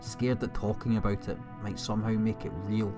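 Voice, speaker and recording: Over music in the background, a man speaks at a fairly quick pace with fairly low pitch. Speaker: horror story narrator. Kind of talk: horror story narration.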